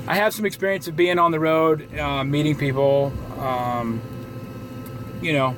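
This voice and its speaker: With noticeable background noise behind him, a man with an American accent and fairly high pitch speaks at a moderate pace, with ordinary pitch variation and long, frequent pauses. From Southwest Florida. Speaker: vlogger. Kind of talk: casual vlog monologue. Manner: halting, many fillers.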